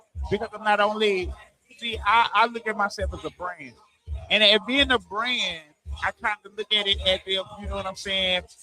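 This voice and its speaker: A man talks at a high pitch with fairly even intonation and big swings in loudness. Music plays in the background. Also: moderate pace. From Arkansas. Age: 40s. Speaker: rapper. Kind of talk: interview. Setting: live stream event. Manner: halting, many repetitions.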